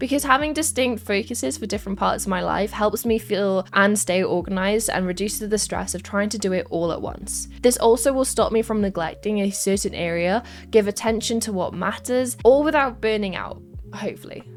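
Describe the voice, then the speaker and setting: Speaking at a fairly quick pace, a woman has a Welsh accent. She leaves hardly any pauses. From Wales. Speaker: esports caster. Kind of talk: scripted vlog narration.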